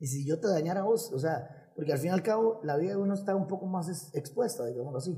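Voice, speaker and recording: A high-pitched man rushes along at a very fast pace with hardly any pauses and lively intonation. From Costa Rica, Nicoya. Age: 30s. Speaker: singer and musician. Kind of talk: casual chat.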